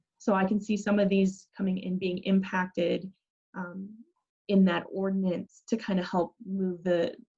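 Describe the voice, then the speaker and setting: Somewhat breathy with a dark, mellow tone, a woman at a medium pitch speaks fairly slowly and in a flat monotone. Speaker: city planning staff presenter. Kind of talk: public meeting presentation.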